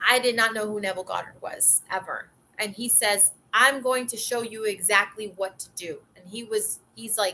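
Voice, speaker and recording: A woman with a slight Southern accent speaks at a moderate pace and a fairly high pitch, her tone bright and sharp and her loudness swinging a lot. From US South, Atlanta. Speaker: manifestation coach. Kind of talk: casual vlog talk. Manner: animated.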